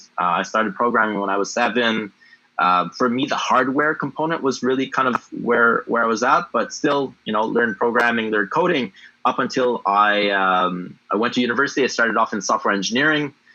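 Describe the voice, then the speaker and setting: Speaking at a fairly quick pace with a French accent, a man uses a bright, sharp tone and ordinary pitch variation. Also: medium pitch for a man. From Canada, Ottawa (Francophone, Ontario-Quebec border). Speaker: blockchain entrepreneur. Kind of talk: interview. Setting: livestream AMA.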